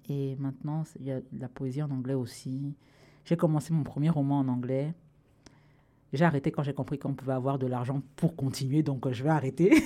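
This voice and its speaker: Speaking at a moderate pace, a woman has a very deep, low pitch, monotone and flat intonation, and a dark, mellow tone. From Cameroon. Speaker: writer and comedian. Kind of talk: casual interview chat.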